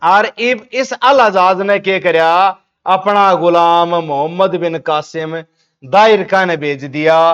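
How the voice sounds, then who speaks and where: This man's voice sits high in pitch, in a Haryana accent. His pitch varies in an ordinary way. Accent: Haryanvi. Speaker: history teacher. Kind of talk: exam revision lecture. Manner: casual, storytelling.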